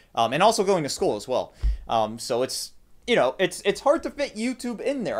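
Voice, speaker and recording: A man talks at a fairly quick pace. Behind him, the background stays quiet. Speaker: tech youtuber streaming. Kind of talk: casual live stream chat. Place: home room.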